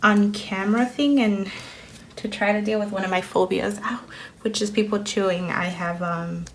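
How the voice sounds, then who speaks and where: A woman speaks at a fairly slow pace with a Spanish accent, her pitch medium with ordinary variation. Audible room echo and noticeable background noise are present. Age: 30s. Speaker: planner vlogger. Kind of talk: casual chat. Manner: hesitant with fillers.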